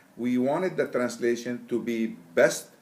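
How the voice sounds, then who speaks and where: A man with an Arabic accent. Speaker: Quran translator. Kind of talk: interview. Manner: halting.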